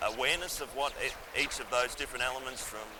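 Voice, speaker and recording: Amid noticeable background noise and audible room echo, a man speaks with an Australian accent. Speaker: engineering firm technical director. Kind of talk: interview. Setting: conference venue.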